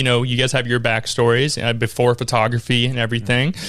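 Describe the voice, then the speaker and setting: A man with an American accent speaks at a fairly quick pace over noticeable background noise. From Jacksonville, Florida. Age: 20s. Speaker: podcast host. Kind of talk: casual interview chat.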